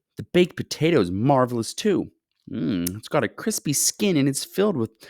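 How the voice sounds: A natural reading voice over a quiet background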